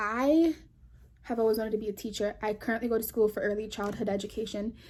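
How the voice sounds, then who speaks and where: A woman's somewhat breathy, fairly high voice with an American accent, very fast pace and fairly even intonation. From New York. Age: 20s. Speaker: vlogger. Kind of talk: casual chat.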